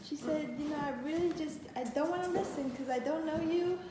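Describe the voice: A woman speaks high in pitch at a fairly quick pace. Strong room echo surrounds her voice. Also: ordinary pitch variation.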